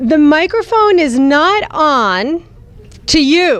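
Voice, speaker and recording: Using very wide pitch swings, a woman talks with an American accent. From New Jersey. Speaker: speaker at a youth retreat. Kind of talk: talk to children's group. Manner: animated.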